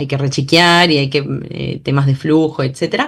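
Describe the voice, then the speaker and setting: Very deep, low woman's voice at a moderate pace, with ordinary pitch variation. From Argentina, Bahía Blanca. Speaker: journalist and political scientist. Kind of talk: interview. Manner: halting, many fillers and restarts.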